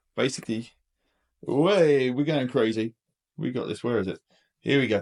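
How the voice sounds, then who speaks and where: With an English accent, a man speaks at a medium pitch with lively intonation in a dry, close sound without echo. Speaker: DIY home renovator, vlogger. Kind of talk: casual video tour. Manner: fast.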